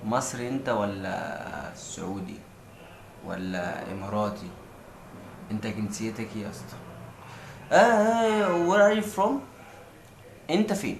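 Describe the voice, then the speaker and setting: A man speaks very slowly with long, frequent pauses and big swings in loudness. Audible room echo and noticeable background noise surround him. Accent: Egyptian. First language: Egyptian Arabic. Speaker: language tutor vlogger. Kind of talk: tutorial.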